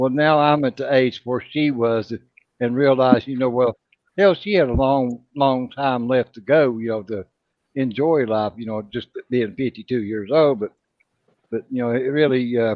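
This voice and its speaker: Ordinary pitch variation from a man at a moderate tempo, in a normal speaking voice. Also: medium pitch for a man. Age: 50s. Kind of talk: casual chat.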